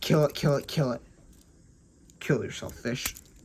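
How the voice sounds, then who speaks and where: In a put-on character voice, the speaker uses a low-to-middle pitch at a moderate pace. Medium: solo performance. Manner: alarmed, nagging.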